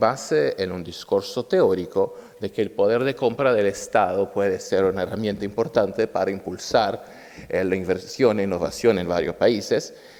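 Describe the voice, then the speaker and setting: Noticeable background noise accompanies a man talking at a moderate pace. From Brazil. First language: Portuguese, also Italian (speaking Spanish). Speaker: state attorney and conference speaker. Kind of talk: conference talk. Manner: slightly halting non-native Spanish.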